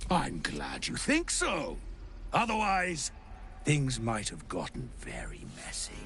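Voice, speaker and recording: A man's put-on character voice at a fairly slow pace, broken by long, frequent pauses over clear background noise. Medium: video game. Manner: droll, condescending.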